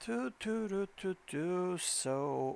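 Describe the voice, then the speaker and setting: A man talks with ordinary pitch variation. His recording is very clean, the background silent. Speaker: gaming livestreamer. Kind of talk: live stream chat. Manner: loud; animated. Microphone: quiet on a viewer's laptop.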